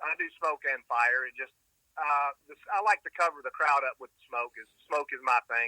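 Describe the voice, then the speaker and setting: Speaking at a moderate speed, a man talks in an American accent. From US South, Atlanta area. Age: 60s. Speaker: jet car driver. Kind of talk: interview.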